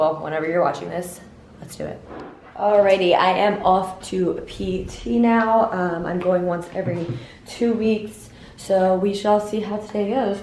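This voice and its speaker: Over noticeable background noise and audible room echo, a woman speaks at a fairly slow pace in a medium pitch with ordinary pitch variation. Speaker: lifestyle vlogger. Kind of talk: casual vlog talk. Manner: chatty, lots of fillers.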